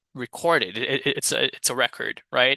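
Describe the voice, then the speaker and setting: Through a dry, close sound with no echo and a quiet background, a man with a Brazilian accent speaks at a very slow pace. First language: Portuguese. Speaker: English teacher. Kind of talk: study vlog, reading aloud and thinking out loud. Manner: casual, self-talk.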